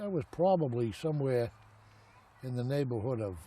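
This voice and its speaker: With an American accent, a man speaks in a dark, mellow, somewhat breathy tone at medium pitch. His pace is moderate and his intonation lively. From Boston, Massachusetts. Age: 70s. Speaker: elderly man recounting his life. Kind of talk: oral history interview. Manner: halting, with many fillers.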